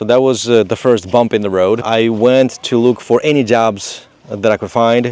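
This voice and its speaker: Speaking in a Moldovan accent, a man keeps a medium pitch, fairly even intonation and a moderate pace with hardly any pauses. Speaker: contractor, business owner. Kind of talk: interview. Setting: outdoors in a state park. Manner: halting, many fillers.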